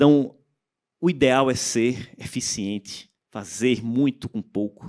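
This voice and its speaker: A man speaks at a medium pitch with a slight strong Pernambuco accent. The sound is dry and close with no echo, on a very clean recording with a silent background. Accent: slightly strong Pernambuco. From Pernambuco, Brazil. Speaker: panel speaker on tax reform. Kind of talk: conference talk.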